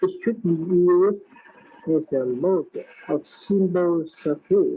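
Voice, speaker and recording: A woman's fairly low voice in a Vietnamese accent, at a very slow pace. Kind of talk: prepared talk. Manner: halting. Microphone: poor sound quality.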